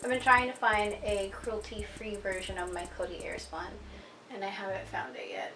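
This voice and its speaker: Music is heard in the background. A woman talks at a moderate pace. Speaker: beauty vlogger. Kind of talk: makeup tutorial voiceover. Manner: chatty.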